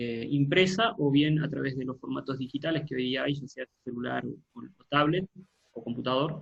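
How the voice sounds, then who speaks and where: Here a man's voice comes across somewhat breathy. His pace is moderate. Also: medium pitch for a man, ordinary pitch variation, big swings in loudness. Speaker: pastor. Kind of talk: online Bible class.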